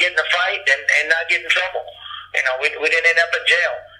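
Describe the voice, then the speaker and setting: Talking at a very fast pace, a man with a high voice keeps a monotone, flat intonation against noticeable background noise. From Japan. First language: Japanese. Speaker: former wrestling manager and martial artist. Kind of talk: interview. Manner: halting, many fillers.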